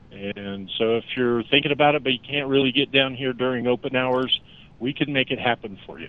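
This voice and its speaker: In an ordinary speaking voice, a man talks at a fairly quick pace with medium pitch and fairly even intonation. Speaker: car dealership general manager. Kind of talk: radio interview, sales pitch. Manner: casual, salesy.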